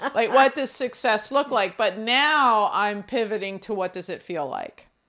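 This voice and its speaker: A woman with an American accent speaks loudly at a fairly slow pace, her tone animated, bright and sharp. Her fairly high pitch carries lively intonation on a very clean recording with a silent background. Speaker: podcast co-host. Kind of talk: casual chat.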